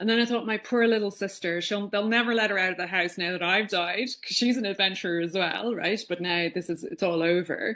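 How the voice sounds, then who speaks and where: With an Irish accent, a woman talks at a fairly quick pace with hardly any pauses, using a bright, sharp tone, medium pitch and ordinary pitch variation. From Ireland, Dublin. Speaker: podcast guest, spiritual speaker. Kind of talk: casual interview, personal story.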